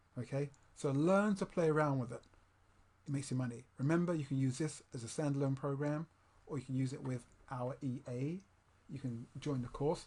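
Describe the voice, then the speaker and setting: Somewhat breathy and dark, mellow in tone, the voice moves at a fairly quick pace with ordinary pitch variation and long, frequent pauses. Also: man. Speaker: trading software tutorial presenter. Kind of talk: tutorial. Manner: fast; halting.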